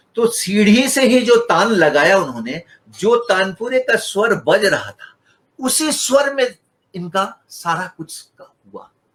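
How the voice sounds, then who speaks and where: This man's voice sits high in pitch. He uses lively intonation. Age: 70s. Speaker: guitarist and musician. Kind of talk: interview.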